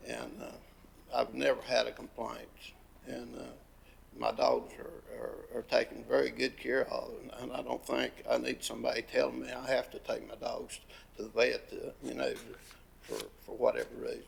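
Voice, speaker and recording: A man with an Appalachian accent speaks at a moderate pace, pausing long and often. His loudness swings widely from moment to moment. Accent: Southern US, Appalachian North Carolina. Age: 70s. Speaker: dog breeder and hunter giving public comment. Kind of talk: public comment, informal. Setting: county commission meeting. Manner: halting, many fillers and repetitions.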